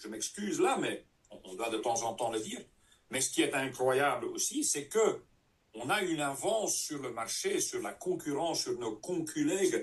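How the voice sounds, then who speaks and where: A man with a Dutch accent talks at a fairly slow pace, his loudness swinging widely. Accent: Dutch-speaking accent in French. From Flanders, Belgium. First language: Dutch (speaking French). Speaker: network marketing trainer. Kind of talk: training session. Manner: halting.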